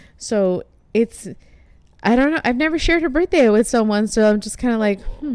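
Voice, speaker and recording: Speaking at a fairly quick pace with a Spanish accent, a woman uses lively intonation and a fairly high pitch. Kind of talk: casual chat.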